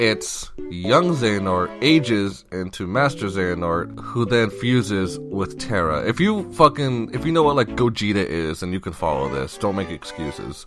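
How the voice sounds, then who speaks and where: Man at a moderate pace with very wide pitch swings and music in the background. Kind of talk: casual game-lore explanation. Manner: rambling, profane.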